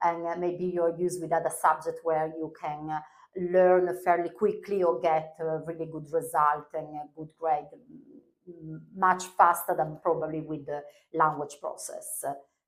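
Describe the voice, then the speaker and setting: A woman with an Italian accent talks at a fairly slow pace in a fairly low pitch, her intonation monotone and flat while her loudness swings widely. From northern Italy. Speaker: language teacher. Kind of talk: interview. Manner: halting, many fillers.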